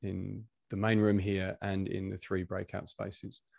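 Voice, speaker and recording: A man with a British accent, fairly low in pitch, very slow and fairly even in intonation, in a dry recording with no echo and a quiet background. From UK. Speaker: coach and session convener. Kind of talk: personal storytelling. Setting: video call. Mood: calm, reflective. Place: home room. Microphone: video call.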